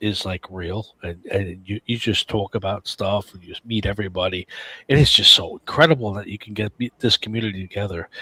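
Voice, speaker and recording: With a New York accent, a man speaks at a fairly low pitch and a moderate pace in a bright, sharp tone, with big swings in loudness and a dry, close sound with no echo. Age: 60s. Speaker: podcast panelist, sports fan. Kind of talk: casual chat. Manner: animated.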